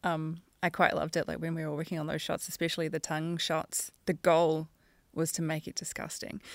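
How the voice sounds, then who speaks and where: A woman with a New Zealand accent speaks fairly quickly in a fairly low, monotone, flat voice. The recording is very clean, with a silent background. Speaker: animation supervisor. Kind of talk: casual chat.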